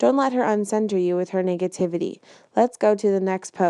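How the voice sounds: A natural reading voice carries fairly even intonation from start to finish.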